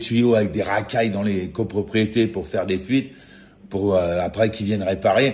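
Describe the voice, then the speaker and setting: A man with a fairly low voice and a somewhat breathy sound talks at a moderate pace with ordinary pitch variation. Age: 60s. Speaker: vlogger. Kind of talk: angry rant. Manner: agitated; halting with repetitions.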